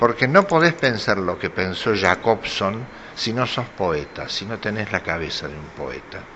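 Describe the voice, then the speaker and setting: Against noticeable background noise, a man of medium pitch talks at a very slow pace. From Argentina, Córdoba (Carlos Paz). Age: 60s. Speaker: poet. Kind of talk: casual talk, greeting message. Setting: cultural center event. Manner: hesitant with fillers.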